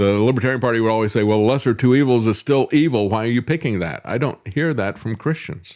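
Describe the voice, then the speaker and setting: At a very fast pace with hardly any pauses, a man speaks in a medium pitch with ordinary pitch variation. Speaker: talk show host. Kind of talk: live stream commentary with chat. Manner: slurred speech when tired.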